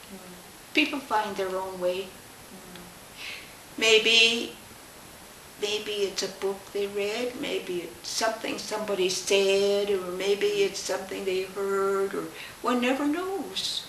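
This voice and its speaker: Speaking very slowly with long, frequent pauses, a woman uses a medium pitch and ordinary pitch variation over noticeable background noise. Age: 80s+. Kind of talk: interview answer.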